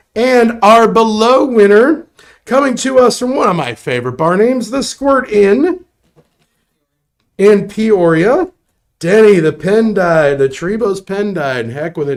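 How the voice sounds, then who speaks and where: Using an American accent, a man speaks fairly slowly at a high pitch with very wide pitch swings. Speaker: live stream game show host. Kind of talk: live raffle draw broadcast. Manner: animated.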